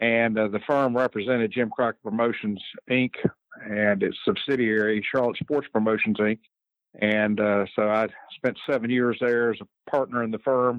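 A man with a Southern US accent, medium pitch, monotone, flat intonation and a moderate pace. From North Carolina, Lexington. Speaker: judge and former lawyer. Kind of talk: interview.

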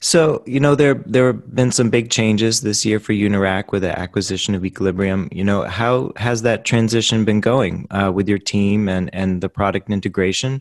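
An unremarkable speaking voice talks at a moderate pace with ordinary pitch variation. The sound is dry and close, with no echo. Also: man. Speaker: podcast host and magazine editor. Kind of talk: professional interview.

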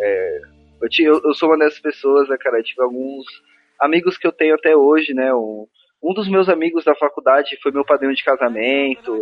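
A man with a Paulista accent talks in a fairly high pitch. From Brazil, São Paulo ABC region. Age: 20s. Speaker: podcaster. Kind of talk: casual chat. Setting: remote recording.

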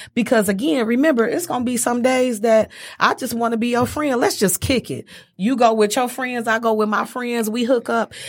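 A woman's normal speaking voice, fairly high in pitch, with ordinary pitch variation and a moderate pace, in a very clean recording with a silent background. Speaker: guest. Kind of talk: casual chat.

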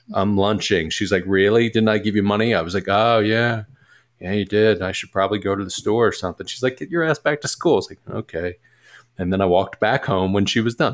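A man with an American accent and a fairly low pitch talks at a fairly quick pace with ordinary pitch variation, in a plain, everyday voice. The recording is very clean, with a silent background. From US Northeast, Philadelphia. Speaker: musician and business partner. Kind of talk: casual chat.

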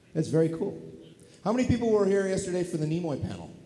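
This man's voice has a dark, mellow tone. It comes across somewhat breathy. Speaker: actor and convention guest. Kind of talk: panel Q&A chat with audience. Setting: stage with audience at a convention. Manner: jokey, animated.

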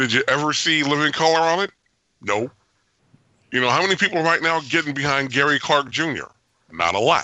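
This man talks at a fairly quick pace with long, frequent pauses, his fairly high-pitched voice keeping a very even loudness. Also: ordinary pitch variation. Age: 50s. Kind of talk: casual chat.

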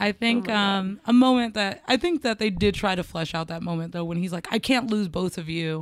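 At a fairly quick pace with hardly any pauses, a woman uses an ordinary speaking voice at a medium pitch with ordinary pitch variation, on a very clean recording with a silent background. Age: 30s. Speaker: podcast co-host. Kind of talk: casual chat.

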